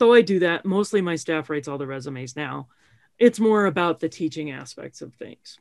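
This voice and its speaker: A woman with an ordinary speaking voice talks fairly quickly at a fairly low pitch, with lively intonation and big swings in loudness. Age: 50s. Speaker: career coach and podcast host. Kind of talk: casual interview chat. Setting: recorded in a kitchen.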